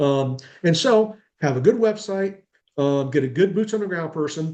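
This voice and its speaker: A man's ordinary speaking voice, fairly high in pitch, at a moderate pace with lively intonation. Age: 60s. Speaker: self-storage consultant. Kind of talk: webinar interview. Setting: video webinar. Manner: conversational, with fillers.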